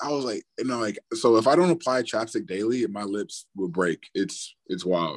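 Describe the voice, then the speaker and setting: A normal speaking voice from a man, medium in pitch, with lively intonation, a moderate pace and hardly any pauses. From US, partly raised in Australia. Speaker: football player. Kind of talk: interview. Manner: casual, many fillers.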